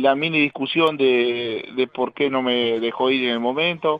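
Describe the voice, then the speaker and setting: A man's medium-pitched, unremarkable speaking voice. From Uruguay, Paysandú region. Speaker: retired footballer. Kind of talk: casual interview chat.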